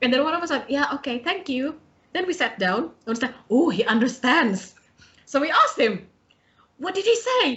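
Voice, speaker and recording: With an Indonesian accent, a woman speaks at a moderate pace in a high pitch that swings very widely. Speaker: podcast host, student. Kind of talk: casual interview chat.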